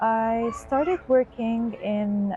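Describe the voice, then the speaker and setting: A woman's medium-pitched voice is heard over background music. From Gaza, Palestine. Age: 20s. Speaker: accountant, displaced mother. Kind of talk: testimony. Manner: halting, with fillers and restarts.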